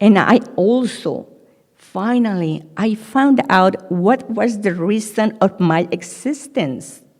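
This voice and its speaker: Using lively intonation at a medium pitch, a woman speaks very slowly. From Mexico. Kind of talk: Friday sermon (khutbah) delivered to a congregation. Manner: emotional, sincere.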